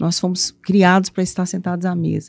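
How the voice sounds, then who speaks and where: The voice has a dark, mellow tone and a Minas Gerais accent, moving at a fairly slow pace. The recording is very clean with a silent background, dry and close with no echo. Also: woman. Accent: Minas Gerais accent, noticeable. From eastern Minas Gerais, Brazil (Ipatinga area). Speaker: author and mentor for abused women. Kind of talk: podcast interview. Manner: animated, playful.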